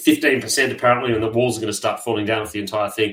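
A man speaks at a medium pitch with an Australian accent, his intonation monotone and flat. The recording is very clean, with a silent background. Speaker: podcast host and investment manager. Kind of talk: casual interview. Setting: studio.

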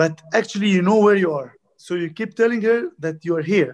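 The speaker talks at a moderate pace with an Arabic accent. Pitch varies an ordinary amount. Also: man. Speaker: squash coach. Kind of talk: interview. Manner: halting.

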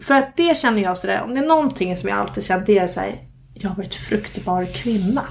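A woman at a very fast pace, medium pitch and lively intonation. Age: 30s. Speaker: podcast host. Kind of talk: casual chat. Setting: recording at home.

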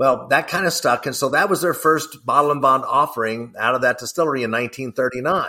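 A man talks with a Kentucky accent in a bright, sharp tone. The recording is very clean with a silent background. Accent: Kentucky Southern American. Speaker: whiskey brand ambassador, former stand-up comedian. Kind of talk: interview.

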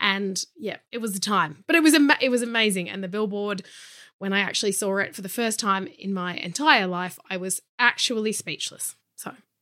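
Speaking at a moderate pace with an Australian accent, a woman has a medium pitch, a bright, sharp tone, ordinary pitch variation and big swings in loudness. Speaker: model and body positivity activist. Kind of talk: interview. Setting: video call.

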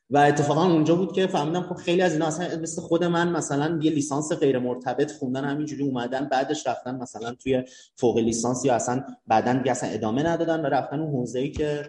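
Very fast and somewhat breathy, a man speaks at a fairly high pitch with a dark, mellow tone and ordinary pitch variation. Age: 20s. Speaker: startup accelerator manager. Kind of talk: casual chat.

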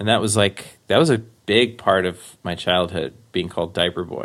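With an American accent, a man has an ordinary speaking voice at a fairly low pitch, talking at a moderate pace with ordinary pitch variation. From Queens, New York. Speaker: actor and stand-up comedian. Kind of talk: casual interview storytelling.

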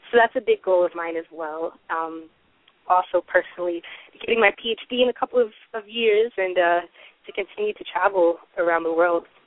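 With an American accent and an unremarkable speaking voice, a woman speaks at a moderate pace and medium pitch with ordinary pitch variation. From US South, Atlanta. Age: 20s. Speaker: novelist. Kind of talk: interview.

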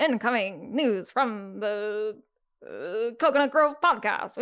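In a very clean recording with a silent background, a female-sounding put-on character voice speaks fairly slowly at a fairly high pitch. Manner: put-on, exaggerated announcer delivery.

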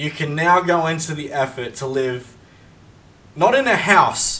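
A man speaks at a fairly high pitch. Noticeable background noise runs under his voice. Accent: Australian. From Australia. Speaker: podcast host. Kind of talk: casual chat. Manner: animated.

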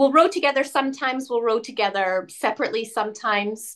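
In a Canadian accent, a woman with a plain, everyday voice speaks at a fairly high pitch with ordinary pitch variation over a quiet background. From Canada. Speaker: ocean rower. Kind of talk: interview.

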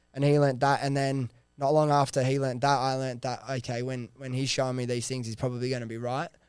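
A man speaks very fast with an Australian accent and monotone, flat intonation. The recording is very clean, with a silent background. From Sydney, Australia. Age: 20s. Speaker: entrepreneur. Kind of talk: casual chat. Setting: studio.

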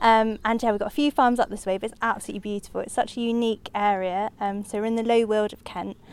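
Here a woman talks at a very fast pace. Her pitch is fairly high. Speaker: conservation officer. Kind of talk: interview. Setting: outdoors.

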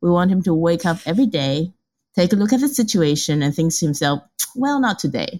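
Very wide pitch swings and very even loudness in a somewhat breathy voice. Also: woman, fairly low pitch for a woman. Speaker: Taiwan analyst. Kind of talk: expert interview.

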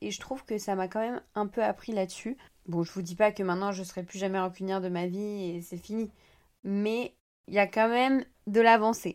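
On a very clean recording with a silent background, a woman at a medium pitch speaks at a moderate pace with fairly even intonation. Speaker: podcaster and social media creator. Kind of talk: personal monologue.

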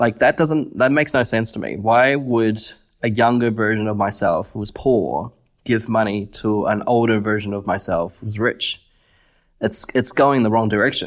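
In an Australian accent, a man speaks at a medium pitch. His pace is moderate and his pitch varies in an ordinary way. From China, raised in Australia. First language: Chinese. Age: 30s. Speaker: radiologist. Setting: online video call.

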